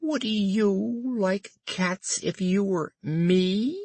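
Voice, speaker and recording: A shrill, put-on character voice at a middle pitch. The delivery is very slow. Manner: passionate, indignant.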